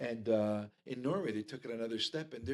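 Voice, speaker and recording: Using a plain, everyday voice, a man talks at a fairly quick pace and medium pitch with ordinary pitch variation. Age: 60s. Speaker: fly fisherman. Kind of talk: casual chat.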